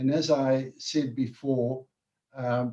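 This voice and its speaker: This man's voice sits fairly high in pitch. It sounds somewhat breathy. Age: 70s. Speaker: interviewer. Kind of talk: interview.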